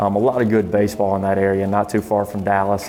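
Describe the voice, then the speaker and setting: A man with a Southern US accent, fairly low in pitch, talking at a very fast pace over noticeable background noise. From southern Arkansas (El Dorado). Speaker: junior college baseball coach. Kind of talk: interview.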